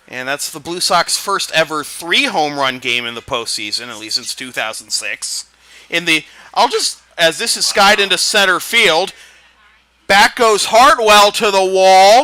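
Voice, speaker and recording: A man with a high pitch uses a raised, projected voice at a fairly slow pace. His loudness swings widely. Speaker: sportscaster. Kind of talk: baseball play-by-play commentary. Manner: excited.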